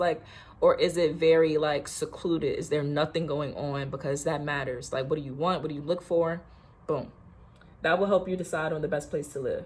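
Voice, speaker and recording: A woman's animated, somewhat breathy voice at a fairly quick pace. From Virginia. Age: 20s. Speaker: lifestyle vlogger. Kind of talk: casual get-ready-with-me vlog. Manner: fast.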